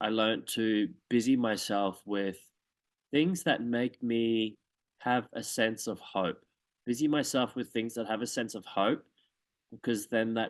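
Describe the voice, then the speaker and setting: A man with an Australian accent talks at a fairly slow pace and a medium pitch. The background is quiet. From Australia, Townsville. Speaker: dancer and drag performer. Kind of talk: interview. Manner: halting.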